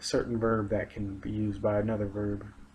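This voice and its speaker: A man's fairly low, somewhat breathy voice moves at a moderate pace with monotone, flat intonation. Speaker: aspiring English teacher. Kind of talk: recorded video presentation. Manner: hesitant, many fillers.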